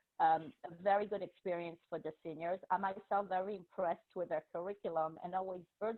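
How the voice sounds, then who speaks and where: This woman speaks with a French accent in a fairly low pitch, her intonation fairly even. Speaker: teacher and school administrator. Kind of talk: presentation to parents.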